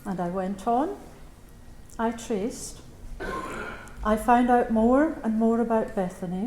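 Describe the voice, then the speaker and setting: In a room with audible echo, a woman talks at a fairly slow pace and a fairly high pitch. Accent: Scottish. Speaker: Bethany Home survivor. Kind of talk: memorial speech.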